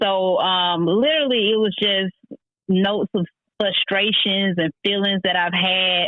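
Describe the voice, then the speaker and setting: Speaking at a fairly slow pace, a woman holds a medium pitch with fairly even intonation and very even loudness. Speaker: author. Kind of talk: interview.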